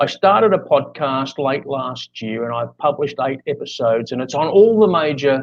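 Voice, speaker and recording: Here is a man with an Australian accent. His pitch is in the middle range. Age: 60s. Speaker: life coach. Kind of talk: interview. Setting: live video podcast. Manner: talkative.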